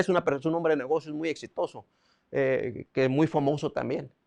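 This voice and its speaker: A man speaks in a fairly high voice with ordinary pitch variation. The sound is dry and close with no echo, over a quiet background. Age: 60s. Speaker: preacher. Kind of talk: sermon. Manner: halting.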